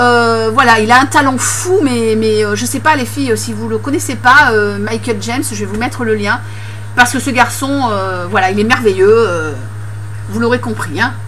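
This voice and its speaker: Moderate-paced speech from a woman amid noticeable background noise and audible room echo. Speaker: beauty vlogger. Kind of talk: casual vlog talk. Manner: hesitant, many fillers.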